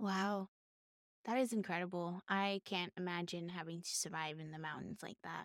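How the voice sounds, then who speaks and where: In a dry, close recording with no echo, a woman with an American accent and an unremarkable speaking voice talks at a moderate pace in a fairly low pitch, her intonation fairly even but her loudness swinging widely. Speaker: podcast host, beginner homesteader. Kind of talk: casual chat. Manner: laughs often.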